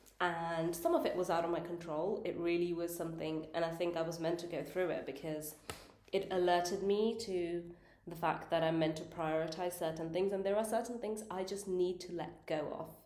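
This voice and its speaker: In a room with audible echo, a woman speaks with a fairly low pitch and fairly even intonation. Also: moderate pace. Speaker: tarot reader. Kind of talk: tarot reading monologue.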